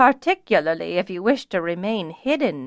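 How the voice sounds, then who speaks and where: A woman's put-on character voice at medium pitch, with very wide pitch swings, a moderate pace, and a dry, close sound with no echo against a quiet background. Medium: read story. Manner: measured, deliberate.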